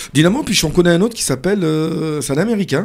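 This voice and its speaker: On a very clean recording with a silent background, a man with a normal speaking voice talks at a fairly quick pace, fairly high in pitch, with lively intonation. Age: 40s. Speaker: radio host. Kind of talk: radio interview.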